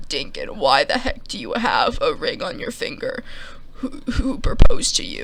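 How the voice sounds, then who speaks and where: Someone uses a put-on character voice at a moderate pace amid noticeable background noise. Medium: solo performance. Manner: blunt, matter-of-fact.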